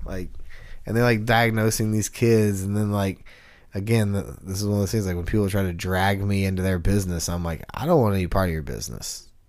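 In a room with audible echo, a man with a fairly low pitch speaks at a fairly quick pace. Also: ordinary pitch variation. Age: 30s. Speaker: co-host and musician. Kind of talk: casual chat.

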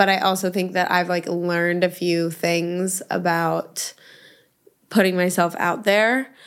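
A woman with an American accent talks at a fairly slow pace in a plain, everyday voice, her pitch medium. Her intonation stays fairly even, and the recording is very clean with a silent background. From New York City. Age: 20s. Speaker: influencer. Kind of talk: casual chat. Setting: studio.

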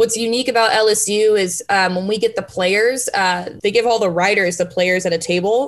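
With an unremarkable speaking voice, a woman talks at medium pitch and a moderate pace, with ordinary pitch variation. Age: 20s. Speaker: sports journalist. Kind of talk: interview. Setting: remote call from home.

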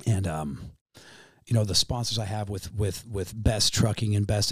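A somewhat breathy man with a fairly low pitch and fairly even intonation at a moderate pace, on a very clean recording with a silent background. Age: 30s. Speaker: professional boxer. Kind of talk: casual chat.

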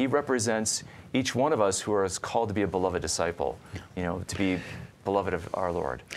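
In an American accent, a man with an ordinary speaking voice talks at a fairly low pitch and a fairly quick pace with lively intonation. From northern Illinois. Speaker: podcast host and Bible scholar. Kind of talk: interview. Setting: studio.

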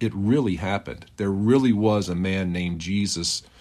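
This is a normal speaking voice from a man with a fairly low pitch, talking at a fairly slow pace. The background is quiet. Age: 50s. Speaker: podcaster. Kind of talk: personal testimony monologue. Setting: outdoors in a park.

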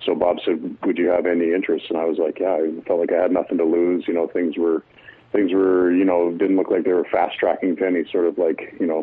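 A man speaks with a Canadian accent. His pace is very fast. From Ontario, Canada. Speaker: retired hockey player. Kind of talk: interview.

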